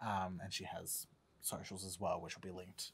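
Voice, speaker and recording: Speaking fairly quickly, a man talks with an Australian accent. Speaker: podcast host; podcast co-host. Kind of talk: casual chat. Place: studio. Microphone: studio mic.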